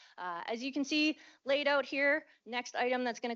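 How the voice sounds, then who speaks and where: A plain, everyday voice with ordinary pitch variation. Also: woman. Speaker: event moderator. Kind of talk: presentation. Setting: conference room with audience.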